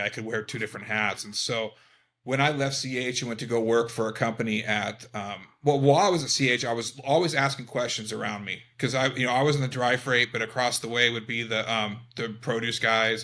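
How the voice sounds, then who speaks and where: A man with an American accent talks at a fairly quick pace in a bright, sharp tone of medium pitch, his intonation fairly even. The recording is very clean, with a silent background. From Eastern Washington, US. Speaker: trucking business founder. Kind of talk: interview.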